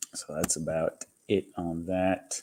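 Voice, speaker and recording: A quiet man with monotone, flat intonation. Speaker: live streamer. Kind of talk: casual chat. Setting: home kitchen. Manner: quiet, keeping voice down.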